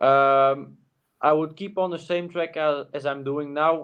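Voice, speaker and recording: A man's fairly high voice moves at a fairly slow pace. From Flanders, Belgium. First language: Dutch. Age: young. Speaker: cyclist. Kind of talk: interview. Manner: halting, many fillers.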